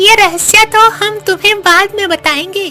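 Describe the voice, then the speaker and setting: A cartoonish character voice speaks at a moderate pace over clear background music. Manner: calm, advisory.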